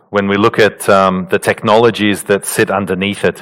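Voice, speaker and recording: Fairly even in intonation, a man speaks with an Australian accent. His pitch is fairly low and his pace moderate. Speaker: quantum physicist speaker. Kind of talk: conference talk. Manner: halting, many fillers.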